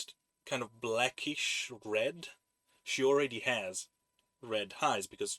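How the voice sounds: Against quiet surroundings, the reading voice sounds natural.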